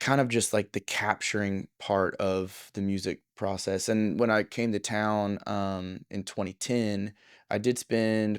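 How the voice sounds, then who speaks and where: Speaking very slowly, a man with a fairly low pitch keeps a fairly even intonation, the sound dry and close with no echo on a very clean recording with a silent background. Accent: American. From US South, Southeast Texas. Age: 30s. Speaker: studio owner and producer. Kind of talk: casual interview chat. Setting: recording studio.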